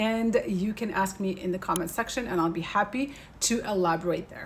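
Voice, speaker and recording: A woman at medium pitch with ordinary pitch variation. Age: 40s. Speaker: beauty and wellness educator. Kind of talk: tutorial. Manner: fast.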